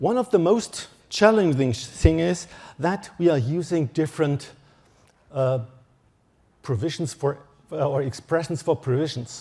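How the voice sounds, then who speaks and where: A man's fairly high, somewhat breathy voice with a dark, mellow tone and a German accent, fairly slow with lively intonation, in a very clean recording with a silent background. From Germany. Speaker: electronic engineer, standards expert. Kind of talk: conference talk. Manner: halting.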